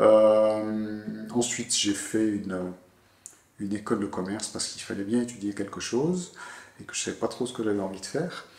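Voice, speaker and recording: At a moderate pace, a man with fairly low pitch and ordinary pitch variation talks with long, frequent pauses. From southwest France (Bordeaux). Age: 50s. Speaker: tourism office director. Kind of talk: interview. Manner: hesitant, many fillers.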